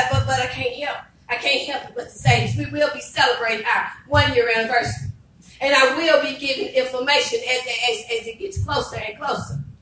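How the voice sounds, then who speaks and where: Over light background noise and audible room echo, a woman talks at a fairly quick pace in an animated tone. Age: 50s. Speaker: pastor. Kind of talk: sermon. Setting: church. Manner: animated, repetitive preaching cadence. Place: church.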